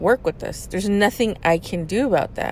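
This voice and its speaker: A woman is speaking. Her pace is moderate. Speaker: podcast host venting about work. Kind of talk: angry rant about boss. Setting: in a parked car. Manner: frustrated, stressed, venting; repetitive, halting, with fillers.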